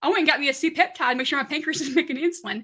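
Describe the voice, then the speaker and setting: In a strong Southern accent, the voice is raised and projected. The tone is bright and sharp, with ordinary pitch variation. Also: woman. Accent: heavy Southern. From Kentucky, US South. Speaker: keto diet content creator. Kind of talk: casual live stream chat.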